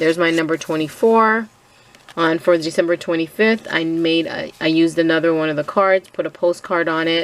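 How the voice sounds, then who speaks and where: A woman speaks at a fairly quick pace with a fairly low pitch and fairly even intonation over noticeable background noise. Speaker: crafter sharing a design team project. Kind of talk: craft tutorial walkthrough. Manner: hesitant with frequent fillers.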